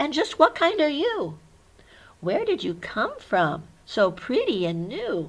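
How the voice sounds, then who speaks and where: The voice is a high-pitched, put-on character act. Its delivery is fairly slow. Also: female-sounding voice. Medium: read story.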